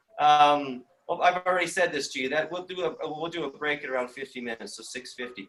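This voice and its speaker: Rattling along at a very fast pace, a man speaks at a fairly high pitch with ordinary pitch variation. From Canadian Prairies, Saskatchewan. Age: 50s. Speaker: film industry trainer. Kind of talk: online seminar presentation. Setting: video call from home living room. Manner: enthusiastic.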